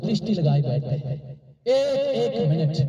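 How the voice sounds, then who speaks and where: Noticeable background noise and audible room echo surround a man whose pitch swings very widely. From Nepal. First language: Nepali (speaking Hindi). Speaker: pastor. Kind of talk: sermon.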